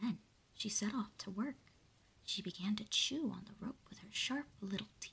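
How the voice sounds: The speaker uses a natural reading voice.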